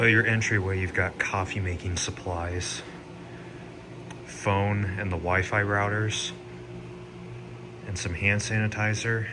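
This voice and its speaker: There is noticeable background noise and audible room echo as a man talks at a fairly slow pace with fairly even intonation and long, frequent pauses. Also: fairly low pitch for a man. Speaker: hotel reviewer. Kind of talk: video tour. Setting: indoors and outdoors at a lodge. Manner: casual, conversational.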